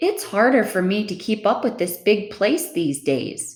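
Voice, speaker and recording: A put-on character voice in a gentle tone at a moderate pace. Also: female-sounding voice, medium pitch for a woman. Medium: read story. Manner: gentle, kindly.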